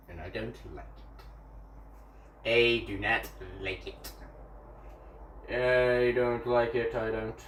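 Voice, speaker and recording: A man talks at a very slow pace, with long, frequent pauses. His loudness swings widely, and the room echo is audible. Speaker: gaming streamer. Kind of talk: casual live-stream commentary. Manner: animated.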